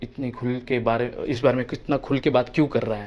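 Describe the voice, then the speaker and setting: A man speaks at a moderate pace with a medium-pitched voice. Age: 30s. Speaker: actor and film director. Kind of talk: personal vlog monologue. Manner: hesitant, many filler sounds.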